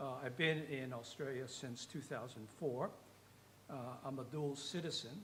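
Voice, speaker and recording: In a room with audible echo, a man with an American accent speaks at a fairly slow pace. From United States. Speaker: audience member asking a question. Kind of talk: Q&A question from the floor.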